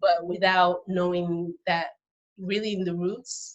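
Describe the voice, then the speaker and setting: A woman talks at a fairly slow pace at a medium pitch. Her intonation is monotone and flat. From Benin, raised partly in the US. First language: Fon and Yoruba. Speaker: birth worker. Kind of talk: interview conversation. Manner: halting, with many fillers and restarts.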